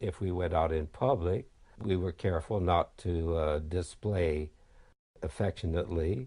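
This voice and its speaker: Against a quiet background, a man with a very deep, low pitch speaks at a fairly slow pace in a somewhat breathy, dark, mellow tone with ordinary pitch variation. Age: 80s+. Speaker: retired film editor. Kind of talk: documentary interview.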